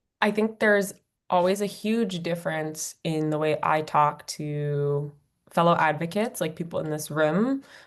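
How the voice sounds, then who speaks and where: With an American accent, a woman speaks at a moderate pace in a fairly low pitch, with ordinary pitch variation. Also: quiet background. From California, Bay Area. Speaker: nonprofit co-founder, climate advocate. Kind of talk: Q&A talk at a meeting. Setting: community meeting with audience. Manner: energetic.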